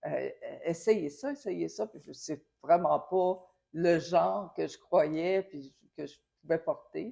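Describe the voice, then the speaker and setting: The speech moves at a very slow pace with big swings in loudness. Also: woman. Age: 60s. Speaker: administrative technician returning to work. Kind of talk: testimonial interview. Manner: hesitant, many filler sounds.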